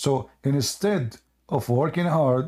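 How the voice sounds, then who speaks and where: On a very clean recording with a silent background, a man with an Arabic accent speaks in a fairly high, somewhat breathy voice with lively intonation. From Middle East. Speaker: debate show host. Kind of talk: heated debate. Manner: animated.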